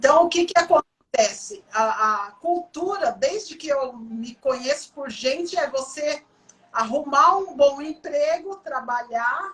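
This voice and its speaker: Speaking at a very slow pace, a woman with a high pitch uses lively intonation and big swings in loudness. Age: 60s. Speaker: coach. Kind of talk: interview. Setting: livestream.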